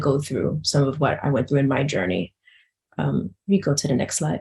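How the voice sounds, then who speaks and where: A woman speaks with a New York accent. Her very deep, low pitch carries vocal fry. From Bronx, New York. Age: 40s. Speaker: patient advocate. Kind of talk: personal testimony in webinar. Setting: virtual symposium. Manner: fast.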